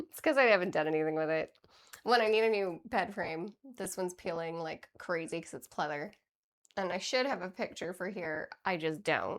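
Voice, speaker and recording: At a moderate pace, a woman talks with a medium pitch and ordinary pitch variation. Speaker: livestreamer. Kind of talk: casual chat. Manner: loud. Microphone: wireless mic, said to be quiet and crackling.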